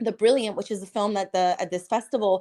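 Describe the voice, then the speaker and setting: Speaking in a Spanish accent, a woman uses an animated tone, medium pitch, ordinary pitch variation and a moderate pace. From Cuban American, US. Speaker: filmmaker. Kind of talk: interview.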